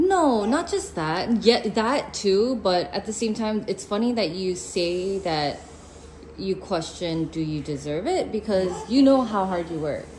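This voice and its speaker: A woman at medium pitch and a fairly slow pace, lively in intonation, over noticeable background noise. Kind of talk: casual restaurant review.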